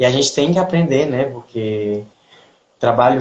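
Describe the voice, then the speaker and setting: A man with a Cearense accent, speaking at a moderate pace. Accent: Cearense Brazilian Portuguese. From Brazil, Ceará. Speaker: ballet dancer. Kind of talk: interview. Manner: halting, with self-corrections.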